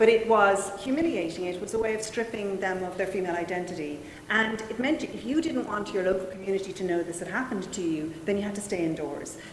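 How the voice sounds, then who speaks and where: A woman with an Irish accent at a very fast pace, hardly any pauses, and noticeable background noise. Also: medium pitch for a woman, ordinary pitch variation. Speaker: historian. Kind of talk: panel discussion. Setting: stage with audience.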